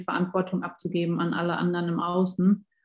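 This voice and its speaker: A woman talks at a medium pitch in a dark, mellow tone that is somewhat breathy. The background is quiet. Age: 20s. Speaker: life coach. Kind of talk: casual chat.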